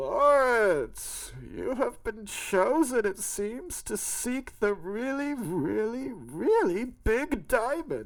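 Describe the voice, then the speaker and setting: In a put-on character voice with a fairly high pitch, the speaker goes at a very slow pace with hardly any pauses. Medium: read story. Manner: booming, grandiose.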